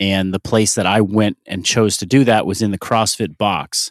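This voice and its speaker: A man's plain, everyday voice in an American accent, fairly low in pitch, at a fairly slow pace, with a dry, close sound and no echo. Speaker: fitness coach and company founder. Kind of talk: interview.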